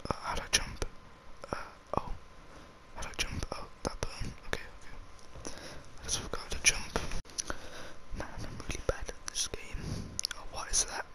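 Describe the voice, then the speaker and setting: Whispering at a moderate pace, a man leaves long, frequent pauses. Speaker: ASMR gaming YouTuber. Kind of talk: casual talk to camera while gaming. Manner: soft whispering. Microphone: studio mic.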